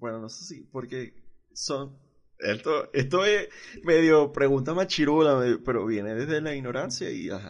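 A man's normal speaking voice, fairly high in pitch, fairly slow, with lively intonation and big swings in loudness against a quiet background. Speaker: podcast host. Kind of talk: casual chat.

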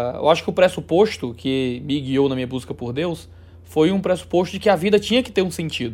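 Very fast, lively speech from a man on a very clean recording with a silent background. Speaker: theologian and religious YouTuber. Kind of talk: interview conversation.

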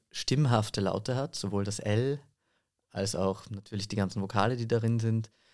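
A man with a plain, everyday voice speaks at a fairly low pitch with fairly even intonation, on a very clean recording with a silent background. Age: 20s. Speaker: voice and singing teacher, actor. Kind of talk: interview.

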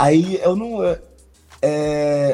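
This man speaks with lively intonation. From Santa Luzia, Minas Gerais, Brazil. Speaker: rapper. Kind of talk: casual interview chat. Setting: live stream. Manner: halting, many repetitions.

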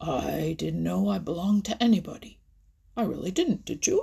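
A woman puts on a character voice that is fairly low-pitched, dark and mellow, with a husky, rough edge and vocal fry. She speaks at a moderate pace with big pitch swings.

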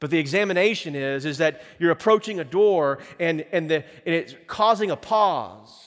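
Here a man with a high pitch talks at a moderate pace with hardly any pauses. His pitch variation is ordinary. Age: 30s. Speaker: pastor. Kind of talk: sermon. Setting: church.

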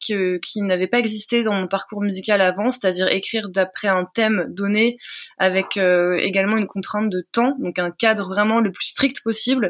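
Speaking at a moderate pace and medium pitch, a woman uses an ordinary speaking voice with fairly even intonation. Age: 30s. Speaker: singer-songwriter. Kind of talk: interview.

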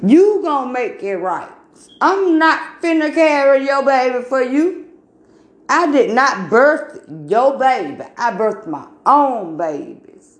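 A woman talks at a very slow pace in a high voice, her pitch swinging very widely. Room echo can be heard around her. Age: 40s. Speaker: podcaster giving religious talk. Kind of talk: religious monologue. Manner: emphatic.

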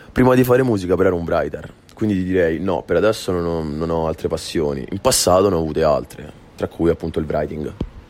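Music plays in the background as a man with a Roman accent and a very deep, low pitch speaks at a very fast pace with ordinary pitch variation. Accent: Roman Italian. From Rome, Italy. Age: 20s. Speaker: rapper. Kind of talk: radio interview.

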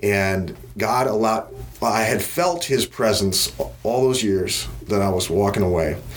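Lively intonation comes through in an American accent. Noticeable background noise and audible room echo are present. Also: man. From US Midwest, Wisconsin. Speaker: business executive. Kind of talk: interview. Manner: hesitant, many fillers.

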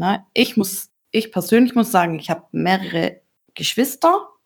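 On a very clean recording with a silent background, a woman with a plain, everyday voice speaks at medium pitch and a moderate pace, with ordinary pitch variation. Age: 30s. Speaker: online dating user. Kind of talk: casual chat.

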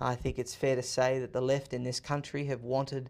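In an Australian accent, a man with a medium pitch speaks in an energetic tone at a moderate pace, in a very clean recording with a silent background. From Australia, Sydney. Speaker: author and political commentator. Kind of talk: interview. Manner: energetic, fluent talker.

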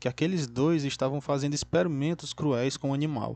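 A man speaks at a fairly high pitch with a dark, mellow tone. His intonation stays fairly even over a quiet background. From Brazil, interior of Ceará (Northeast). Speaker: podcast host and book club reader. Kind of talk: book summary and personal anecdotes, solo podcast.

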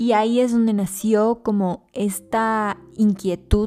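A woman's dark, mellow voice, very slow, with fairly even intonation. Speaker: podcast host, actress and model. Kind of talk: personal monologue. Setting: at home.

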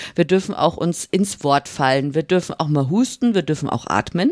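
Very clean, silent-background recording of a woman, with a dry, close sound and no echo. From Upper Bavaria, Germany (Swabian-born family). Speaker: podcast co-host. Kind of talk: casual chat.

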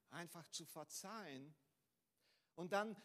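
This is a man talking. His pitch rises and falls an ordinary amount. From Brazil. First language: Portuguese (speaking German). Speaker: pastor. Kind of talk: sermon. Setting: church. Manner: halting, with fillers and repeats.

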